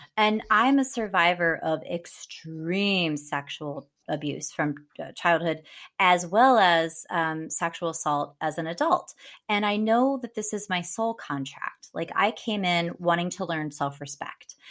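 At a fairly slow pace, a woman with a normal speaking voice and a fairly low pitch speaks with lively intonation, in a very clean recording with a silent background. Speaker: witch, psychic and podcaster. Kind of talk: casual chat.

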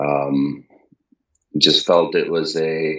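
This man's voice sits at a very deep, low pitch. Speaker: crypto wallet company founder. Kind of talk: casual chat.

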